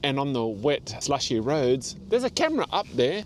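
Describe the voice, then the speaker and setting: Lively intonation and vocal fry in an Australian accent, at a fairly slow pace. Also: man. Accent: Australian, noticeable twang. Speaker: seasonal delivery driver and vlogger. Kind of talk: casual vlog monologue.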